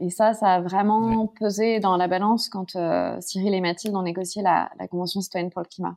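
A woman speaks at a moderate pace and medium pitch in a monotone, flat intonation, with a dry, close sound and no echo. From Paris, France. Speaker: climate campaign founder. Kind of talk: interview conversation.

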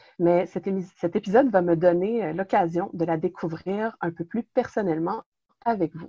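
At a fairly slow pace, a woman with a Quebec accent speaks in a dark, mellow tone at medium pitch, with ordinary pitch variation and big swings in loudness. The sound is dry and close, with no echo. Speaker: religious organization director, interviewer. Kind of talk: interview. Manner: hesitant.

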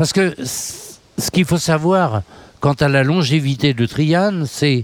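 Recorded with a dry, close sound and no echo, a man speaks in a fairly high voice. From western France, Nantes. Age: 70s. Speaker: folk musician. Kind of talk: interview. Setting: outdoor terrace by the river.

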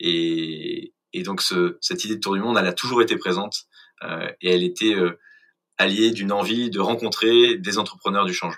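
With lively intonation, a man speaks at a fairly low pitch in a bright, sharp tone. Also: moderate pace. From Paris suburbs, France. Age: 30s. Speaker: startup co-founder. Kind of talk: interview.

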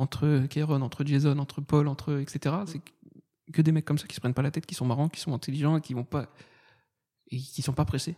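Talking at a fairly quick pace with long, frequent pauses, a man has a fairly high pitch and fairly even intonation. The very clean recording has a silent background and a dry, close sound with no echo. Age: 20s. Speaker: stand-up comedian. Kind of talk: casual chat.

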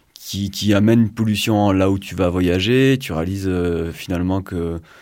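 A man speaks with a fairly low pitch and a dark, mellow tone. His pitch varies in an ordinary way on a very clean recording with a silent background. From southwest France (Pyrénées-Atlantiques). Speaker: engineer and climate activist. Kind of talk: casual radio interview. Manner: halting, many fillers and repetitions.

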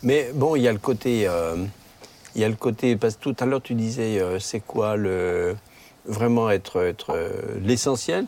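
Noticeable background noise sits under speech at a fairly slow pace with ordinary pitch variation. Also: man, medium pitch for a man. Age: old. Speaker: retired pastor. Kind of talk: casual chat.

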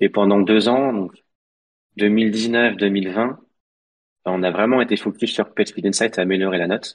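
A man speaks at a fairly slow pace in a fairly low pitch. His intonation is fairly even, with long, frequent pauses. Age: 30s. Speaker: product manager of a software plugin. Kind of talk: interview.

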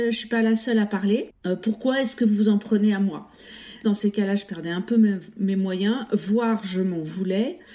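A woman speaks at a fairly slow pace with a fairly high pitch. Her tone is dark and mellow, and somewhat breathy. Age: 50s. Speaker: teacher. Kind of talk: testimony.

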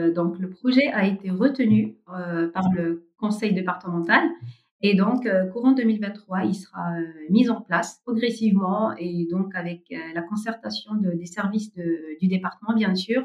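A woman's somewhat breathy voice at a medium pitch, with a fairly slow pace and ordinary pitch variation. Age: 40s. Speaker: family caregiver and nonprofit site manager. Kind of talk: interview testimony. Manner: hesitant, with frequent fillers.

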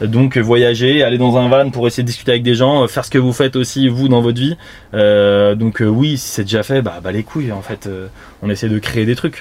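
A man talks at a moderate pace with a medium-pitched voice. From Île-de-France, France. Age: 30s. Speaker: streamer. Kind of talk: live stream chat. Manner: animated.

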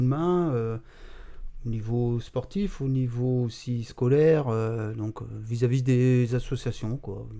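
A man's medium-pitched voice with a dark, mellow tone, at a very slow pace. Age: 50s. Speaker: job-integration supervisor, football fan. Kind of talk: casual podcast interview.

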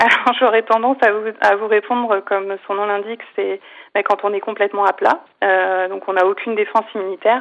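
This woman talks at a medium pitch in a monotone, flat intonation. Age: 40s. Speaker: cancer survivor and comedian. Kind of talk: interview. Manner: halting.

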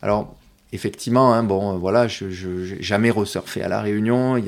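At a moderate pace, a man talks with fairly low pitch and fairly even intonation. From southern France, Provence coast (Martigues). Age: 40s. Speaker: para-surfer and speaker. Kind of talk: interview. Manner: halting, many repetitions.

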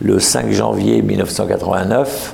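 A man's voice comes through with noticeable background noise and audible room echo. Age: 60s. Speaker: event founder. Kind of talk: interview. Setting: stage with audience.

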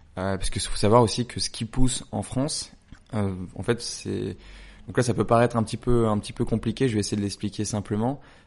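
Speaking with fairly even intonation, a man keeps a moderate pace at a medium pitch. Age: 20s. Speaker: brand founder. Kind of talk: interview. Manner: hesitant, many fillers.

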